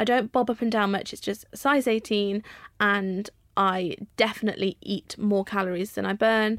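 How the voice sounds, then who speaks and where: Someone speaks with an English accent at a moderate pace, with ordinary pitch variation. The recording is very clean, with a silent background. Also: woman. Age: 30s. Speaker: vlogger and author. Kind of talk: casual chat.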